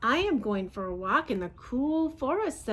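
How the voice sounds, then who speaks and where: Putting on a character voice, a woman speaks at a high pitch with very wide pitch swings and a moderate pace. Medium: read story. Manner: sly.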